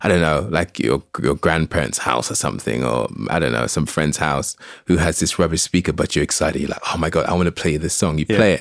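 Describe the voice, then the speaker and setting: Dry and close with no echo, a man speaks very fast at a very deep, low pitch, with vocal fry and ordinary pitch variation. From Saint Lucia. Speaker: music artist. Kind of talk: casual interview. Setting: studio.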